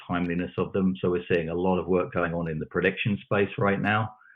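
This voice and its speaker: With a British accent, a man speaks at a fairly quick pace in a very deep, low pitch with ordinary pitch variation. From UK. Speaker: technology expert panelist. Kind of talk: panel discussion. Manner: halting, repeats words.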